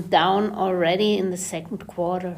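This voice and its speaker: A woman speaks with a German accent. The room echo is audible, and there is noticeable background noise. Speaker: podcast host. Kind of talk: interview.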